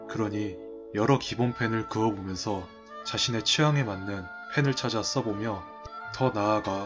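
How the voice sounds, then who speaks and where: Music plays in the background. A man with a fairly low voice speaks at a moderate pace. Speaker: digital artist / video creator. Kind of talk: speed-painting narration, explanatory talk with jokes. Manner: casual, self-deprecating, humorous.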